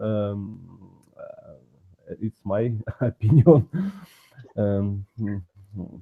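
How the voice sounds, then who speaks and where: Very slowly and with long, frequent pauses, a man with a Russian accent speaks at a fairly low pitch with fairly even intonation. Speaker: language learner. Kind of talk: casual chat. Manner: halting.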